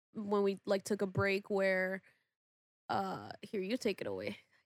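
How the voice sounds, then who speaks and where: In a dry, close sound with no echo, a woman with a medium-pitched voice speaks at a fairly slow pace. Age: 20s. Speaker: podcast host. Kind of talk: casual chat.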